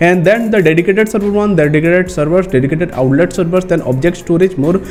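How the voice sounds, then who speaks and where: With music in the background, a man in an Indian accent talks very fast at a high pitch that varies in an ordinary way. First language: Hindi. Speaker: tech YouTuber. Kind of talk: tutorial. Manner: halting.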